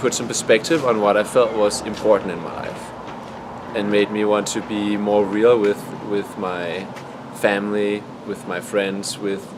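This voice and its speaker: A man with a Danish accent speaks at a fairly slow pace in a fairly low pitch, with noticeable background noise. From Denmark. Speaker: documentary interviewee. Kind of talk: interview. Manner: halting.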